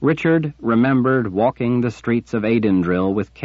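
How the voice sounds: The clip carries a natural reading voice. That voice runs from start to finish.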